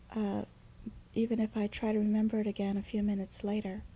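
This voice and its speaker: Her voice somewhat breathy, a woman speaks at a fairly high pitch in a monotone, flat intonation. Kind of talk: unscripted casual talk. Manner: hesitant, with fillers.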